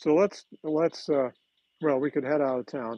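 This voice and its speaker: The man's pitch is fairly high. He speaks at a moderate pace. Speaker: model railroad hobbyist. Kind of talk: live stream tutorial. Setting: home layout room, live stream. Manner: loud; casual, halting.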